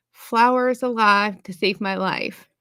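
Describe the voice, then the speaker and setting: The voice is loud, with fairly even intonation and a fairly slow pace. The recording is very clean, against a silent background. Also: woman. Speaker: live stream co-host. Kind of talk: casual chat. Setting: live stream.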